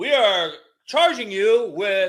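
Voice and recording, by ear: A man's put-on character voice, high-pitched, slow, fairly bright, with lively intonation.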